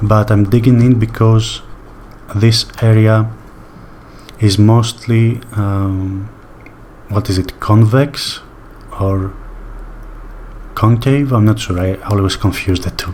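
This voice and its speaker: Speaking very slowly with a non-native accent, a man uses a relaxed tone and fairly even intonation against noticeable background noise. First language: not English. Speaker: sculpting tutorial creator. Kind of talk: tutorial. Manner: slow paced; relaxed, hesitant with fillers.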